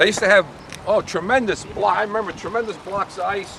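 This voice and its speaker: With a New Jersey accent, the speaker talks at a fairly quick pace over noticeable background noise. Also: man. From Montclair, New Jersey. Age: 60s. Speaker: walking tour guide. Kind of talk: walking tour talk.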